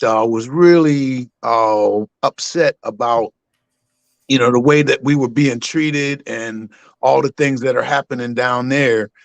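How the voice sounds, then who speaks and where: Speaking with an American accent in a normal speaking voice, a man keeps a fairly slow pace, medium pitch and fairly even intonation, the sound dry and close with no echo. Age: 60s. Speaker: caller. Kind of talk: call-in testimony.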